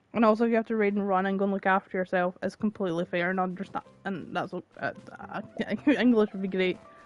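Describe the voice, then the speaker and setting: A woman with a Scottish accent talks at a very fast pace and a medium pitch. The sound is dry and close with no echo, and music plays in the background. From Scotland. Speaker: gaming streamer. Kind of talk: live game stream commentary. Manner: animated.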